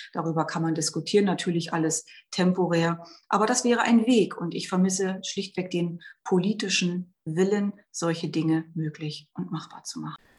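A woman speaks in a fairly low, somewhat breathy voice. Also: fairly even intonation, moderate pace. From Brandenburg, eastern Germany. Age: 40s. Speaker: member of parliament. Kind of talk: interview.

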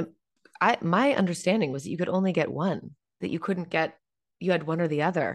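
Delivered at a fairly quick pace, the voice shows vocal fry and ordinary pitch variation. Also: woman, fairly low pitch for a woman. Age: 40s. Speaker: podcast host and on-camera coach. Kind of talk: interview.

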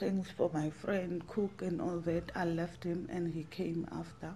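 A woman with a Zulu accent speaks at a medium pitch in a dark, mellow tone. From South Africa, Witbank (Mpumalanga). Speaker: survivor telling her story. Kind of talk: testimony.

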